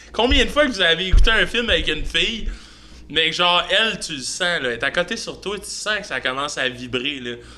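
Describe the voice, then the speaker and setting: Over noticeable background noise, a man talks at a fairly quick pace in a high voice with very wide pitch swings. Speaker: podcast host. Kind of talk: casual chat.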